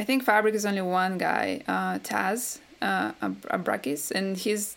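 Woman with a Russian accent and a medium pitch. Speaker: game composer. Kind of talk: interview.

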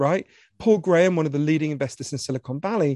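A very fast voice with a British accent, a dark, mellow tone and ordinary pitch variation, in a dry, close sound with no echo and a quiet background. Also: man. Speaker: author. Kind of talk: moderated author conversation. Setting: online event with audience Q&A. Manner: fast talker.

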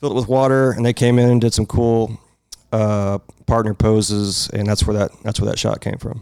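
A man speaks at a fairly low pitch with fairly even intonation. It is an ordinary speaking voice, with a dry, close sound and no echo. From North Texas. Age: 40s. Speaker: light painting artist. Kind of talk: casual chat.

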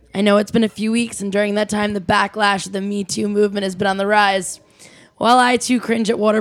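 A woman's medium-pitched voice, very fast and monotone, with flat intonation. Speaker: podcast co-host. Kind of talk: scripted commentary segment; casual chat.

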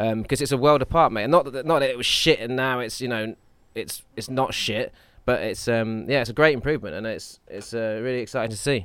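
A man with a plain, everyday voice talks at a fairly quick pace and medium pitch with ordinary pitch variation on a very clean recording with a silent background. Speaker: podcast co-host and screenwriter. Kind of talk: casual chat. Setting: gym front desk. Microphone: poor audio.

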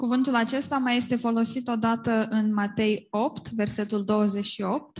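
A woman's somewhat breathy, fairly high voice in a Romanian accent, monotone and flat, at a moderate pace with very even loudness and hardly any pauses. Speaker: interpreter. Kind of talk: consecutive interpretation. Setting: church with live English speaker.

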